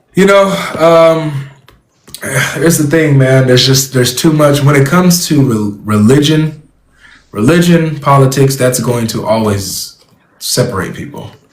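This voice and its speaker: A man with an American accent talks at a moderate pace, leaving long, frequent pauses. Audible room echo surrounds his voice. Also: fairly high pitch for a man, ordinary pitch variation. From California. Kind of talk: debate conversation.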